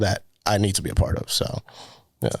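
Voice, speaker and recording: A man in a very clean recording with a silent background. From US, moved from Dominican Republic at age 3. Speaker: student filmmaker, director of photography. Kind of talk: casual chat. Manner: casual, many fillers like 'like'.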